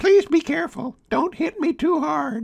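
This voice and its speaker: Here a man uses a put-on character voice at an extremely high pitch. The pace is moderate. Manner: pleading, anxious.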